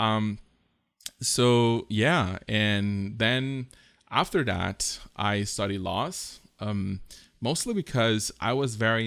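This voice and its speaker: With a Costa Rican accent, a man speaks at a fairly low pitch with fairly even intonation on a very clean recording with a silent background. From southern Costa Rica. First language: Spanish. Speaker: podcast host, graphic designer. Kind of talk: personal story monologue. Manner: halting, many fillers and repetitions.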